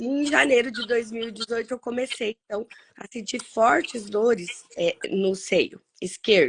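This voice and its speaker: A woman speaks at a fairly slow pace in an unremarkable speaking voice with ordinary pitch variation. The sound is dry and close with no echo. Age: 40s. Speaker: cancer survivor, social worker, author. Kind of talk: interview, personal testimony.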